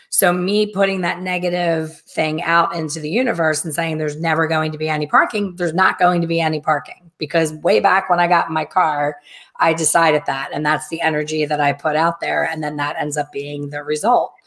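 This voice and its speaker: Over a quiet background, a woman speaks at a fairly quick pace. Her pitch is very deep and low, her intonation fairly even. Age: 50s. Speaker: hair colorist and educator. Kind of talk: casual chat. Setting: live video stream. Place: home room.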